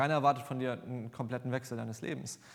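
With fairly even intonation and medium pitch, a man talks at a very fast pace on a very clean recording with a silent background. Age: 20s. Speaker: lay preacher. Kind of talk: sermon. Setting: church.

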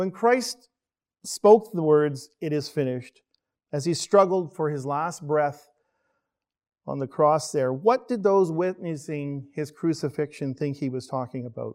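A man with a plain, everyday voice, fairly high in pitch, at a fairly slow pace. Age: 50s. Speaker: church elder giving a sermon. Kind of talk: sermon. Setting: church, streamed online.

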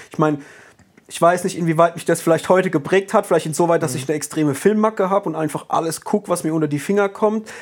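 At a high pitch with ordinary pitch variation, a man rattles along at a very fast pace. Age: 30s. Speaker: podcast host. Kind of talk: casual chat.

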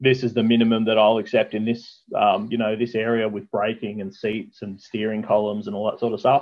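With an Australian accent, a man speaks fairly quickly at a medium pitch, hardly pausing, in a monotone, flat delivery. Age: 30s. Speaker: mini truck builder. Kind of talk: casual chat.

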